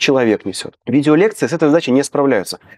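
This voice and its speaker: A man speaks very fast in a fairly high voice with lively intonation, recorded dry with no echo against a quiet background. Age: 30s. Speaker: editor. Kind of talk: interview. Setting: studio. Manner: animated. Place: studio. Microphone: lapel.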